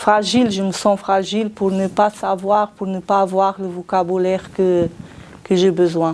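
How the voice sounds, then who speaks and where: A woman with a non-native accent at medium pitch, monotone, flat intonation and a very slow pace, with music in the background. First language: not French (speaking French). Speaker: cleaning company employee. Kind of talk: interview. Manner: halting.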